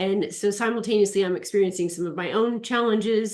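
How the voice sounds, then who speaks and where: In an unremarkable speaking voice, a woman talks at a fairly quick pace with ordinary pitch variation. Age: 40s. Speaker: aesthetician and natural health practitioner. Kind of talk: webinar interview.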